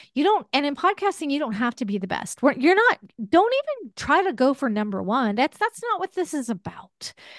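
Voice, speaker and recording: A woman with a high voice swings her pitch very widely. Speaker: podcast host and former caregiver. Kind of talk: interview.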